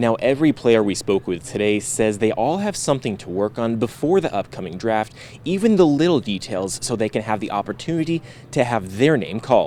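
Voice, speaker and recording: The tone is energetic and excited, with lively intonation. The pace is fairly quick. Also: man, medium pitch for a man. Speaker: sports reporter and anchor. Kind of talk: sports news reporter package voiceover. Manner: energetic, excited.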